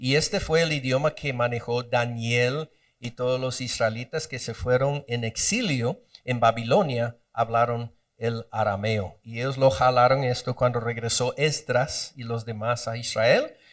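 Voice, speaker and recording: Speaking at a fairly slow pace, a man has an unremarkable speaking voice and fairly even intonation. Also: medium pitch for a man. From Guatemala. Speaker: Bible teacher. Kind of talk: bible study lecture.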